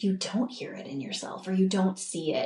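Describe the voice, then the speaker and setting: Her intonation is lively. The woman's voice comes across somewhat breathy. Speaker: podcast host. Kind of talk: podcast monologue.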